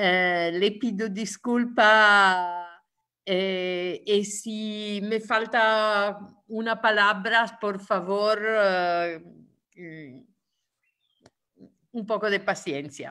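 A woman with an Italian accent speaks at a very slow pace. Her medium-pitched voice has a bright, sharp tone and fairly even intonation. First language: Italian (speaking Spanish). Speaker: trade union leader. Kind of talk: webinar talk. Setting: video call. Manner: halting, many hesitations.

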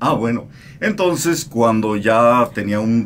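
A man talks at a fairly slow pace over light background noise. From Mexico. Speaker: radio host. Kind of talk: interview answer. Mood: calm, reflective. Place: studio. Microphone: studio mic.

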